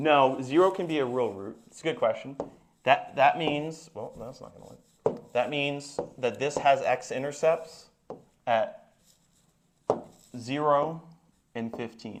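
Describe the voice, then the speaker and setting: In a room with audible echo, a man with a fairly high pitch speaks very slowly, with big swings in loudness and long, frequent pauses. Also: ordinary pitch variation. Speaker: math teacher. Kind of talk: classroom lecture.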